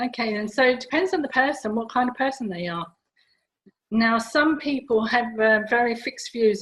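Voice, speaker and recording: Here a woman talks at a moderate pace with ordinary pitch variation. It is a plain, everyday voice. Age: 60s. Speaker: stress and rejuvenation coach. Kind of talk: interview.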